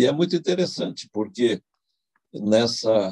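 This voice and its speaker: The man's pitch swings very widely, and the sound is dry and close with no echo. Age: 80s+. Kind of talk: testimony. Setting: online video event. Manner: halting, many fillers.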